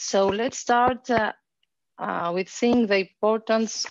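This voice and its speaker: Speaking very slowly, a woman with a Greek accent has a fairly high pitch. The sound is dry with no echo, and the background is quiet. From Greece. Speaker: social worker. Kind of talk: presentation. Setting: video call. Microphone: headset.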